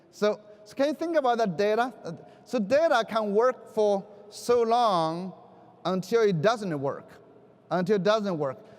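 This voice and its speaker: A high-pitched man with a Chinese accent, fairly slow pace, lively intonation, big swings in loudness and long, frequent pauses. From China. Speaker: education keynote speaker. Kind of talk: conference keynote speech. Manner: halting.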